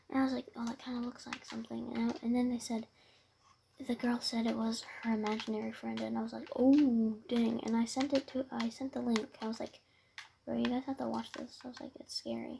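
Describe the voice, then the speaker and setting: A woman is soft-spoken. She talks at a fairly quick pace. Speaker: podcast host. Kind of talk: casual chat.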